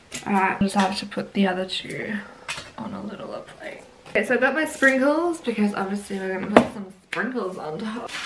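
Noticeable background noise sits behind a woman talking at a fairly quick pace with big swings in loudness. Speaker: vlogger. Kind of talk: casual vlog narration. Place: kitchen. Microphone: camera far.

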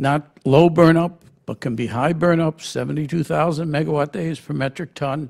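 The pitch of a man's speech varies in an ordinary way, and the background is quiet. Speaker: radioactive waste consultant; panelist. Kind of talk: panel briefing presentation. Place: hall. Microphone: podium.

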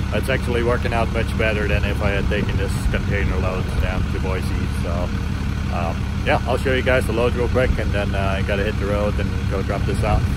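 Through loud background noise, a man talks at a fairly quick pace in a dry sound with no echo. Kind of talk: casual vlog chat. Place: waterside. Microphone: phone near.

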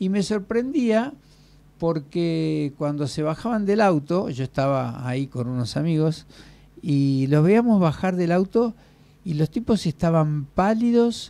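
At a very slow pace, a man speaks with a high pitch, a dark, mellow tone and lively intonation. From Argentina. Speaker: radio host. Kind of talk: casual chat. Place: studio. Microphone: studio mic.

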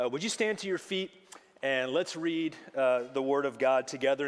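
The speaker is a man with a fairly quick delivery. Pitch variation stays ordinary. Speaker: pastor. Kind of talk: sermon. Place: church.

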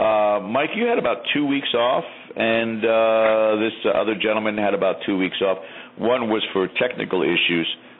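Noticeable background noise sits behind a man who speaks at a moderate pace with ordinary pitch variation. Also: medium pitch for a man. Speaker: paranormal talk show host. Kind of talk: casual panel discussion.

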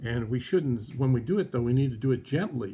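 A man is speaking here. His voice is somewhat breathy, with a dark, mellow tone. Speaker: presenter. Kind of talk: children's devotional teaching. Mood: gentle, warm. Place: home room. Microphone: phone near.

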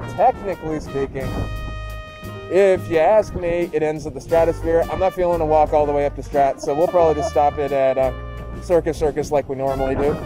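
A man talks at a fairly quick pace with ordinary pitch variation, the sound dry with no echo and clear music playing in the background. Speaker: travel vlogger. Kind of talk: casual vlog chat. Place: street. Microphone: phone near.

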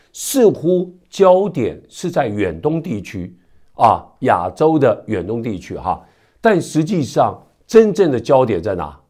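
In a very clean recording with a silent background, a man with a dark, mellow tone, vocal fry and a fairly high pitch speaks at a very slow pace with very wide pitch swings. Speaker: news commentator. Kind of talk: news commentary. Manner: conversational with many filler particles.

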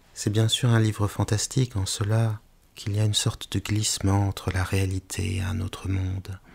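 On a very clean recording with a silent background, a man's somewhat breathy, soothing voice keeps a monotone, flat intonation. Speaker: hypnotherapist. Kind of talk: guided hypnosis with story reading. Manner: slow, soothing; occasional stumbling.

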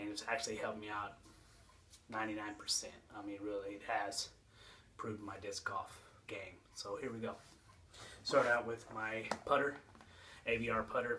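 The delivery is monotone and flat, broken by long, frequent pauses. Light background noise sits underneath. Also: man, moderate pace. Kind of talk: casual vlog chat. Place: home room. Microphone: phone near.

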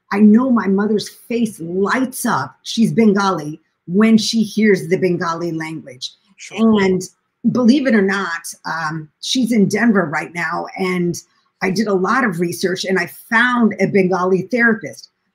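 In an American accent, a woman speaks at a fairly slow pace with a somewhat breathy voice, medium pitch and ordinary pitch variation. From US Midwest, Springfield, Illinois; Illinois. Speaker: documentary filmmaker and caregiver; guest. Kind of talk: interview conversation. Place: home room. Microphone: echo.

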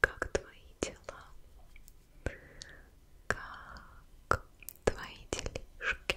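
Soft-spoken, a woman is whispering. She goes at a very slow pace. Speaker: ASMR creator. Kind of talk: soft ASMR whispering to viewer. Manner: soft close-mic ASMR whisper. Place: home room. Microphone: studio mic.

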